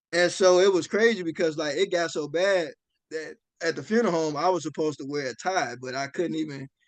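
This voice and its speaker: A man talks at a fairly quick pace in a normal speaking voice. His pitch is fairly high, with ordinary pitch variation. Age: young. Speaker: wrestler and funeral director. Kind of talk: interview conversation. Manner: casual, many fillers.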